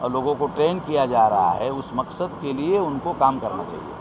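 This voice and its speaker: Over noticeable background noise, a man speaks with lively intonation. His pitch is fairly high. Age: 60s. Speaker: activist organization leader. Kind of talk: interview.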